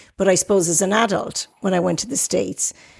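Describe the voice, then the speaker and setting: An Irish accent on a very clean recording with a silent background. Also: woman. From Ireland. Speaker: podcast host. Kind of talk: casual chat.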